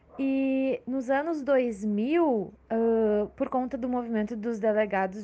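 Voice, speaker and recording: Pitched fairly high, a woman speaks with a dark, mellow tone and ordinary pitch variation. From Porto Alegre, Brazil. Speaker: social scientist and cultural producer. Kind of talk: panel discussion. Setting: remote call.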